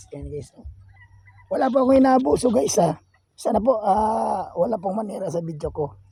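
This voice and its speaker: This man's voice sits high and moves with lively intonation. He leaves long, frequent pauses. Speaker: vlogger, farmer and gamefowl breeder. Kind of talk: casual vlog tour. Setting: outdoors on a farm. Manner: loud, shouting at dogs.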